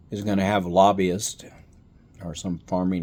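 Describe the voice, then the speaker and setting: This man speaks in a Texan accent with a very deep, low pitch and fairly even intonation. His pace is very slow, and the recording is very clean with a silent background. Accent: Texan American. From Texas. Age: old. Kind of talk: casual political talk to camera.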